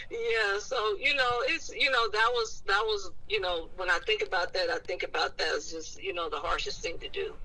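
A woman speaks at a moderate pace. She takes hardly any pauses. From East Oakland, California. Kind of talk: casual chat.

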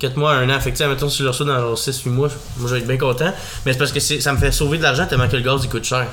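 A man in a Quebec accent talks at a very fast pace with a medium pitch and monotone, flat intonation. Audible room echo and noticeable background noise fill the recording. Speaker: podcast host. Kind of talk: casual chat.

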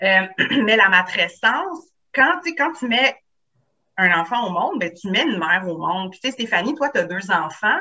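With very wide pitch swings and big swings in loudness, a woman at medium pitch talks at a moderate pace broken by long, frequent pauses. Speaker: psychoeducator, author, trainer. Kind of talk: casual podcast interview.

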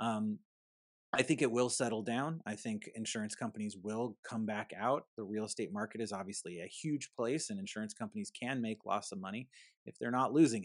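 A plain, everyday voice with ordinary pitch variation moves at a fairly quick pace, with a dry, close sound with no echo and a quiet background. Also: man, medium pitch for a man. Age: 40s. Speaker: insurance agency founder and podcast host. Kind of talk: casual interview.

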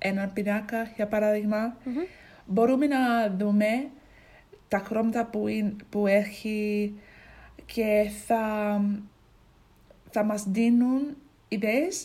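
Somewhat breathy and fairly high in pitch, a woman speaks with an English accent. Her pace is very slow, with long, frequent pauses. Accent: English accent in Greek. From England, Ipswich. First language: English (speaking Greek). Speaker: language learner. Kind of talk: casual chat. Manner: halting.

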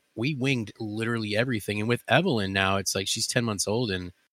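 A man's fairly low voice in an American accent, with a bright, sharp tone, fairly even intonation and a moderate pace, in a dry, close sound with no echo on a very clean recording with a silent background. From Ohio, near Cleveland. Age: 30s. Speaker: podcast co-host. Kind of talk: casual chat.

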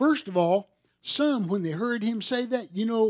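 With a Southern US accent, a man talks very slowly in a high pitch with lively intonation, in a very clean recording with a silent background. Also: dry, close sound with no echo. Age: 60s. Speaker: pastor. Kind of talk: sermon. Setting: church.

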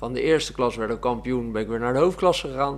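A man speaks in an ordinary speaking voice. His pace is fairly quick, with ordinary pitch variation. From Netherlands, South Holland (Oegstgeest area). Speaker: amateur footballer and gym teacher. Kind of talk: casual interview.

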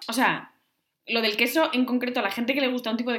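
A woman talks at a fairly quick pace in a fairly high pitch, using an ordinary speaking voice. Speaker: podcast co-host. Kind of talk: casual chat.

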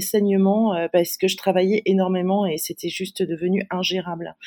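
The woman has a dark, mellow tone at medium pitch. She keeps a moderate pace with fairly even intonation. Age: 50s. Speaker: digital strategy consultant. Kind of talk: interview. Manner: halting.

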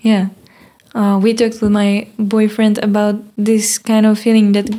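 Fairly high female voice with a Czech accent and monotone, flat intonation. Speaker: podcast host. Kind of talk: casual interview in English. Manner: halting, searching for words.

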